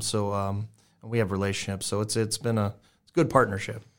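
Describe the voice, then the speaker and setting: On a very clean recording with a silent background, a man with an American accent talks very fast in a fairly low pitch with fairly even intonation. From South Texas. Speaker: barbecue restaurant owner and pitmaster. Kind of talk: casual interview.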